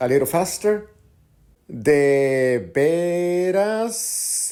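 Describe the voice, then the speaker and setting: Speaking very slowly, a man with a high voice uses lively intonation. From Mexico. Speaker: Spanish teacher. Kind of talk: language lesson. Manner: slow, clear.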